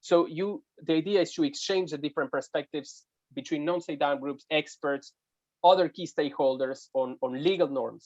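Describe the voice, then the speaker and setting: A man talks at a fairly quick pace in a fairly high pitch. The sound is dry and close, with no echo. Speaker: humanitarian law expert at an NGO working with armed groups. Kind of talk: webinar presentation. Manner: fast; halting, with many fillers and repetitions.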